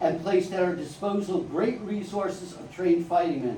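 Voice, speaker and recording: At a fairly quick pace, a man with a high pitch speaks over noticeable background noise. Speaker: historian lecturer. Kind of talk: live history lecture. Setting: live audience hall.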